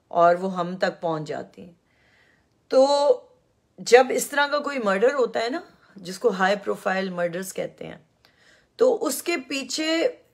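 A woman's fairly high voice with very wide pitch swings, big swings in loudness, and long, frequent pauses. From Pakistan. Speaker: YouTube commentator. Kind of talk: live-stream monologue. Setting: live stream.

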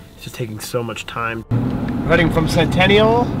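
Loud background noise around a man, the sound dry with no echo. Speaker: vlogger. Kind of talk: casual vlog chat. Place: car. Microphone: phone near.

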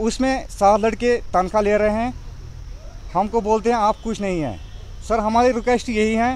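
Speaking at a fairly slow pace, a man with a high pitch keeps a fairly even intonation in a dry sound with no echo. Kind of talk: press statement to reporters. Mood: aggrieved, pleading. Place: open country. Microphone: handheld.

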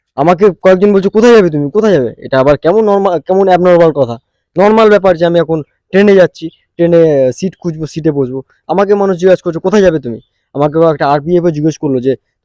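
In a dry, close recording with no echo, a man speaks at a high pitch with a dark, mellow tone and ordinary pitch variation. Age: 20s. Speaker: vlogger and salesperson. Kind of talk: casual vlog storytelling.

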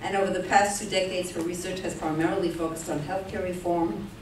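Talking at a very fast pace in a fairly low pitch, a woman is heard with audible room echo and light background noise. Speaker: speaker. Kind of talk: formal introduction. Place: hall.

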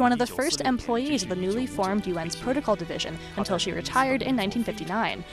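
A woman speaks very fast with lively intonation, clear music playing in the background and a dry sound with no echo. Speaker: TV news reporter. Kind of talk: TV news feature narration.

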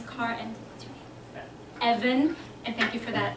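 A high-voiced woman keeps a moderate tempo and fairly even intonation, with noticeable background noise present. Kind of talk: casual remarks before a reading. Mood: warm, laughing. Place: hall. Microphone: podium.

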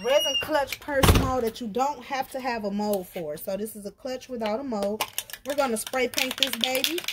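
A woman speaks at a moderate pace with ordinary pitch variation over loud background noise. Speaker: craft vlogger. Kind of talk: casual vlog chat. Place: garden. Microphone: phone near.

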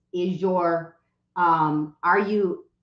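A woman's medium-pitched voice with ordinary pitch variation, some audible room echo and a quiet background. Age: 50s. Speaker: real estate coach and social media educator; real estate coach, social media educator. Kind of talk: live stream talk. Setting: live stream on social media. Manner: fast, repetitive. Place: home room.

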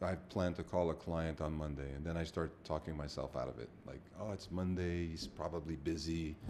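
A man's very deep, low voice in a dark, mellow tone, with fairly even intonation, hardly any pauses and light background noise. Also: moderate pace. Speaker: business co-founder. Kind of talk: casual chat. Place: office. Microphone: studio mic.

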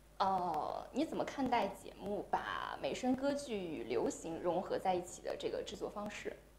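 The speech runs at a moderate pace with hardly any pauses. Noticeable background noise is present. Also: woman. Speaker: livestream interviewer. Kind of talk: interview.

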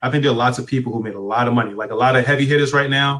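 A man's intonation stays fairly even, with a quiet background behind him. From United States. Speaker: online business coach and blogger; online business coach, blogger. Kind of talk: live interview. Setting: live video stream on Facebook. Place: home room. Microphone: video call.

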